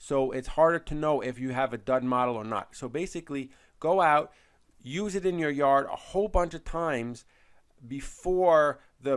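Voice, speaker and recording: In a very clean recording with a silent background, a man talks in a fairly high voice with ordinary pitch variation. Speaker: product reviewer. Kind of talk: product review video. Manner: fast; casual, with frequent fillers and repetitions.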